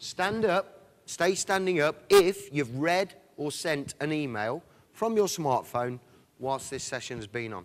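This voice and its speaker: Very wide pitch swings and big swings in loudness at a fairly slow pace, with an English accent. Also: man, fairly high pitch for a man. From England. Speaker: sales director, conference speaker. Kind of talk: conference presentation. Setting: stage with audience. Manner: animated.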